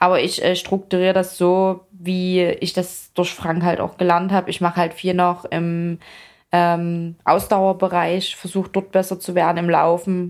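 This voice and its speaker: A woman speaks at a fairly slow pace in a medium pitch with monotone, flat intonation, on a very clean recording with a silent background. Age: 30s. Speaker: fitness athlete and influencer. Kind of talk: casual interview.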